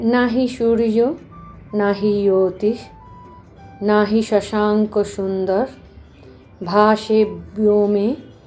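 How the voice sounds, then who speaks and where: A woman with a medium-pitched voice speaks in a flat monotone while music plays in the background. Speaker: spiritual book reader. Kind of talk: audiobook reading of spiritual text.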